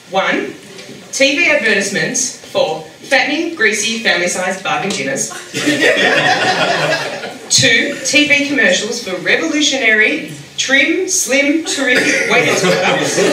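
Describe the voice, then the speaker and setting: Amid noticeable background noise, the speaker goes at a fairly slow pace with long, frequent pauses and very wide pitch swings. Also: woman, high pitch for a woman. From Australia. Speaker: stand-up comedian. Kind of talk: stand-up comedy set.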